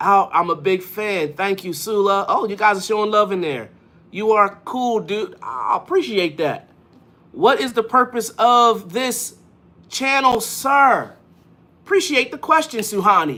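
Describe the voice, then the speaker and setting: A woman with an American accent speaks at a fairly slow pace and fairly high pitch, her bright, sharp tone marked by very wide pitch swings. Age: 40s. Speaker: motivational live streamer. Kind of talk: live stream chat reading comments. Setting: live stream. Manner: upbeat and animated.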